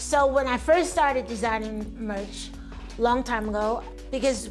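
Music plays in the background. A woman speaks over it. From United States. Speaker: singer-songwriter. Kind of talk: interview answer.

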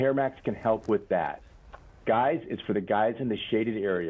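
This is an unremarkable speaking voice. Its intonation is fairly even. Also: man. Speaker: clinical research director. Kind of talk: sales pitch.

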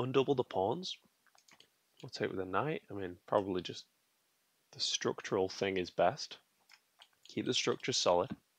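Using a moderate pace with long, frequent pauses, a man speaks with big swings in loudness in a dry sound with no echo. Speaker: chess streamer. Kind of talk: commentary while playing online chess. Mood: mildly annoyed, relaxed. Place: home room. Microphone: headset.

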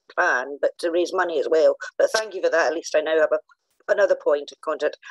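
Recorded with a dry, close sound and no echo, a woman speaks at a fairly quick pace. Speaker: audience member. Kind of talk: question from audience. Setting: video call. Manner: nervous, rambling.

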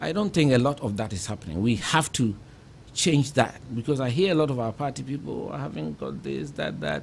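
A man with vocal fry, very wide pitch swings and a fairly quick pace, over light background noise. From Ghana, Kumasi; Ghana. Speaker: politician and civil engineer; politician. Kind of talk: interview. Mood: reflective, earnest. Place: studio. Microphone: studio mic.

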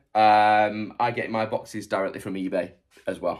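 The background stays quiet while a man is speaking. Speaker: online reseller. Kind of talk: tutorial. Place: workshop. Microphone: phone near.

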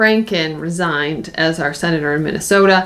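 A woman is talking. She uses ordinary pitch variation. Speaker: vlogger. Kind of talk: casual vlog chat. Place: home room. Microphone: camera far.

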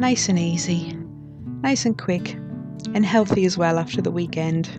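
Over music in the background, this speaker uses a Geordie accent, lively intonation and very even loudness at a moderate pace. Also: woman, fairly low pitch for a woman. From North East England. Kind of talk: casual food vlog narration.

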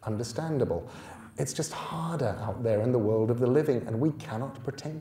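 Reading delivered without strain.

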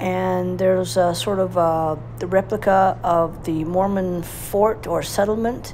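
A woman speaks at a very slow pace. Light background noise sits behind her. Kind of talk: casual ride narration. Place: motorbike. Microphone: helmet.

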